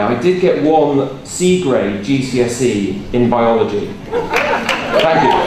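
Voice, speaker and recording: Over noticeable background noise and audible room echo, a man talks with lively intonation. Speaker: motivational speaker. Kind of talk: talk to live audience. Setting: stage with audience. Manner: loud; casual.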